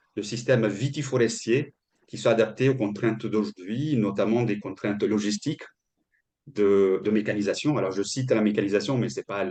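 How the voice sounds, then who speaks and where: Over a quiet background, a man talks at a fairly quick pace. His pitch is fairly low, with ordinary variation. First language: Italian (speaking French). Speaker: agroforestry consultant. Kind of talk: webinar presentation. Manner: halting, many repetitions and fillers.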